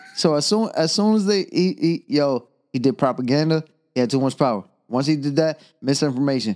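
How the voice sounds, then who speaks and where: A man with an American accent talks at a fairly quick pace and a fairly high pitch. His intonation is lively while his loudness stays very even. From US Northeast, Stapleton neighbourhood. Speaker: podcaster. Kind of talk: casual chat. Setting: at home. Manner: halting, repeats words.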